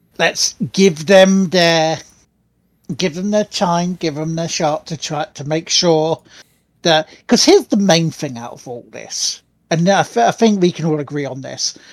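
Delivery is fairly slow. The background is silent on a very clean recording. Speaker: gaming podcast host. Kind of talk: casual chat.

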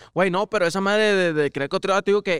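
This very clean recording has a silent background and a dry, close sound with no echo. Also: man. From Mexico, small town. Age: 20s. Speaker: former youth footballer. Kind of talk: casual chat.

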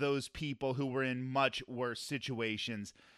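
An unremarkable speaking voice at a moderate pace with ordinary pitch variation, in a dry, close sound with no echo. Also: man. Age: 40s. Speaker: podcast host, former radio broadcaster. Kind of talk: casual interview chat.

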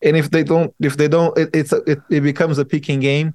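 A man with a Portuguese accent speaks at a fairly quick pace in a fairly high pitch. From Brazil. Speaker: software firm CEO. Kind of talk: interview.

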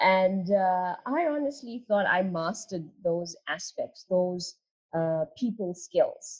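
A woman's somewhat breathy, medium-pitched voice at a very slow pace with lively intonation. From South Africa. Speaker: attorney. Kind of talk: interview.

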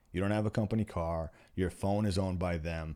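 A man with an American accent, a very deep, low pitch and a moderate pace. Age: 40s. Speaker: custom home builder. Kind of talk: casual chat.

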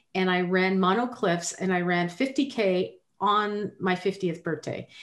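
On a very clean recording with a silent background, a woman with a normal speaking voice and a medium pitch talks at a fairly slow pace. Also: very even loudness. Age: 50s. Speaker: podcast co-host. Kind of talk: casual chat.

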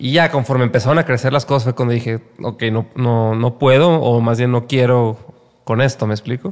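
In an unremarkable speaking voice, a man talks at a moderate pace and medium pitch with fairly even intonation. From Mexico, Guadalajara (Jalisco). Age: 30s. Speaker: music manager. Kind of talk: casual interview chat.

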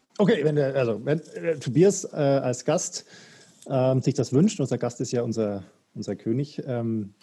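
A man's dark, mellow tone, somewhat breathy, with lively intonation. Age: 40s. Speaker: podcast host. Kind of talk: casual chat.

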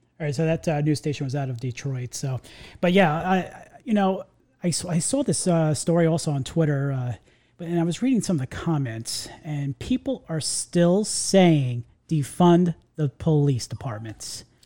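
The speaker has a New York accent, and the recording is very clean with a silent background. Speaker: podcast host. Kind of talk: casual chat. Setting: studio. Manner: fast talker.

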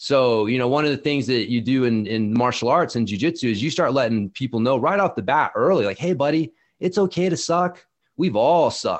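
This man has a plain, everyday voice with a fairly high pitch. He talks at a moderate pace with lively intonation and very even loudness. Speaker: mountain bike and strength coach. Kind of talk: interview conversation.

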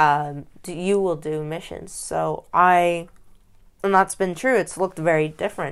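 With a normal speaking voice, a woman of fairly low pitch talks at a moderate pace, her intonation fairly even but her loudness swinging widely, in a very clean recording with a silent background. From grew up abroad as missionary kid, born in US. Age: 20s. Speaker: missionary. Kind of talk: interview.

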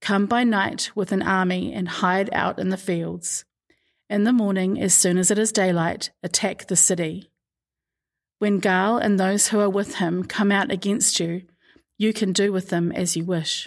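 With a normal speaking voice, a woman speaks at a fairly slow pace and medium pitch, her loudness very even and her intonation fairly even, on a very clean recording with a silent background. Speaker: podcast host reading scripture. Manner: measured, steady narrator pace with expressive shifts into quoted dialogue; formal, reverent tone.

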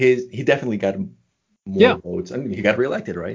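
A man's very fast delivery. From Colombia. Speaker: podcast host, former professor. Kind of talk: interview.

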